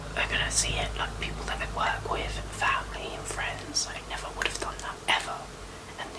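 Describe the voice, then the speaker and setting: Whispering at a moderate pace, a woman with a British accent is heard over noticeable background noise. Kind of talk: ASMR get-ready-with-me chat to camera. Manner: whispered; casual, chatty.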